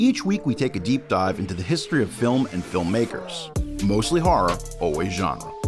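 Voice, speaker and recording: A man's medium-pitched voice at a moderate pace, with very wide pitch swings and music in the background. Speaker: podcast host. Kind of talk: episode teaser narration.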